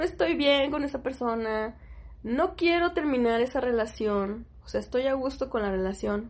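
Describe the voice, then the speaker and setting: A woman speaks at a fairly slow pace in a high pitch. Her intonation is lively, and the background is quiet. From Mexico, Sonora (Hermosillo). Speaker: podcast co-host. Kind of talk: casual chat.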